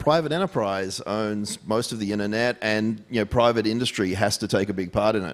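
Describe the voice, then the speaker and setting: A man with an Australian accent at a fairly low pitch, fairly quick and with hardly any pauses, ordinary pitch variation, in a very clean recording with a silent background. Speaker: tech security executive. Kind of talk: fireside chat.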